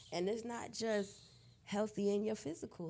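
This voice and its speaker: With an American accent, a woman talks at a moderate pace and medium pitch, with ordinary pitch variation and noticeable background noise. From Brooklyn, New York, then Indiana. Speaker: health coach and wellness business owner. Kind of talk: podcast interview.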